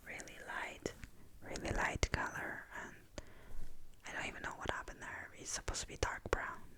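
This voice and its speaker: A woman whispering at a moderate pace, with big swings in loudness, long, frequent pauses and noticeable background noise. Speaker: ASMR content creator. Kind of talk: ASMR storytime whisper, rambling personal story. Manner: whispered, soft-spoken, calming.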